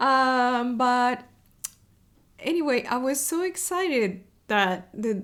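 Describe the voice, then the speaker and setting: The voice carries an Argentine accent. Its intonation is lively. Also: woman. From Argentina, Buenos Aires. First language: Spanish. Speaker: web developer advocate, podcast host. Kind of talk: casual video podcast monologue. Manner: many fillers and hesitations.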